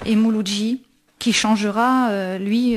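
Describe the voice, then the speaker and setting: A woman's medium-pitched voice, with fairly even intonation, comes through noticeable background noise. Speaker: radio host. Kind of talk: radio show presentation on literature and music.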